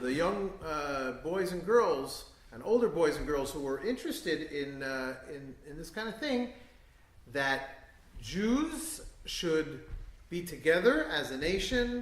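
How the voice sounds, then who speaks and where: A man with a New York accent speaks at a very slow pace, his pitch fairly high. His loudness swings widely, and the room echo is audible. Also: lively intonation. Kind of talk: talk to an audience. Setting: synagogue event with live audience. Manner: hesitant, many fillers.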